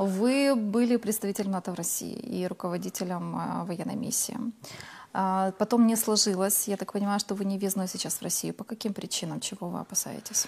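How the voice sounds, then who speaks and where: Fairly even intonation marks a woman's somewhat breathy voice. She talks at a moderate pace. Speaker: TV host. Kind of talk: studio TV interview. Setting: TV studio. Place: studio. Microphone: lapel.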